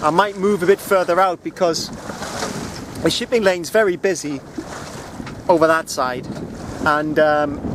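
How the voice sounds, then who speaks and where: Loud and fairly high-pitched, a man talks at a moderate pace with ordinary pitch variation over noticeable background noise. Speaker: solo sailor vlogger. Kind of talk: casual video diary. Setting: outdoors on a sailboat at sea. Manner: loud, raised over wind; hesitant, many ums and uhs.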